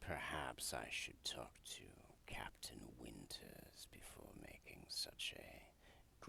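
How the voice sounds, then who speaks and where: A whispered put-on character voice at a very slow pace. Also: man. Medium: actual play. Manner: cold, curt, condescending.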